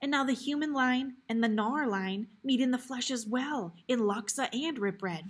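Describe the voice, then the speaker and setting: A female-sounding voice puts on a shaky, high-pitched character voice at a moderate pace with hardly any pauses. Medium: read story.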